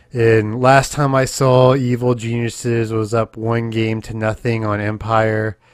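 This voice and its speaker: Over noticeable background noise, a man talks at a fairly slow pace in a monotone, flat intonation with hardly any pauses. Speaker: podcast host. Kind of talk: casual chat.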